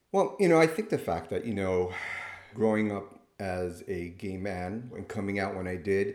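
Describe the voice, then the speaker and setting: In a plain, everyday voice, a man with fairly low pitch talks at a moderate pace with ordinary pitch variation. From Miami, Florida (Cuban American). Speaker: nurse practitioner and clinical professor. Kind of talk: interview.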